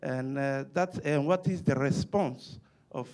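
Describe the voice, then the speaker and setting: A man is speaking. He talks with a non-native accent. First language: not English. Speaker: diplomat, audience questioner. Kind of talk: audience question at Q&A. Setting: symposium with live audience. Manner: halting, many hesitations.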